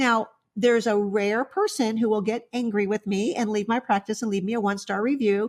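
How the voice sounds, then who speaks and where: Recorded very cleanly over a silent background, a woman talks at a moderate pace in an ordinary speaking voice. Her pitch sits fairly high. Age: 60s. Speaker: veterinarian. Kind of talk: interview.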